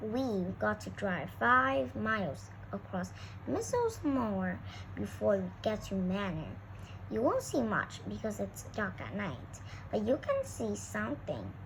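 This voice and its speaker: Through loud background noise, a woman performs a put-on character voice at a fairly slow pace. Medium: read story. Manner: brisk, businesslike.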